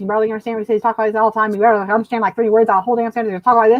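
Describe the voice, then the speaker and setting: Mumbling at a very fast pace, a female-sounding put-on character voice stays fairly high in pitch with monotone, flat intonation. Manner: fast, mumbling, hard to understand.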